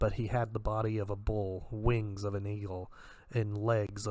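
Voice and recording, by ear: A natural voice, reading aloud.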